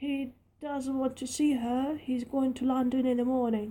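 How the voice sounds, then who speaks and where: Putting on a husky character voice, a woman speaks at a high pitch and a moderate pace with monotone, flat intonation. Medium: read story.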